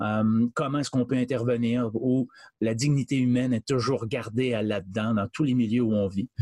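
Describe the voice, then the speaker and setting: A man speaks at a medium pitch with fairly even intonation. The sound is dry and close, with no echo. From Quebec. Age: 60s. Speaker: charity director. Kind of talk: interview. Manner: halting.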